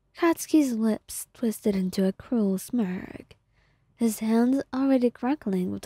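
The text is read aloud. The voice used sounds natural.

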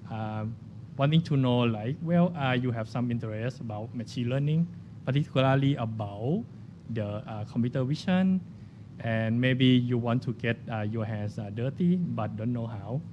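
A man talks at a fairly slow pace in a dark, mellow, somewhat breathy tone with ordinary pitch variation. Light background noise can be heard. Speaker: conference speaker. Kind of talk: conference talk. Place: hall. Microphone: podium.

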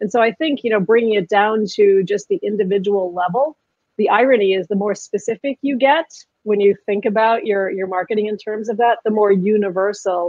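A woman talks at a fairly quick clip with ordinary pitch variation, her voice dry and free of echo against a quiet background. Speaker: interview guest. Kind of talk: interview answer. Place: home room. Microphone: webcam.

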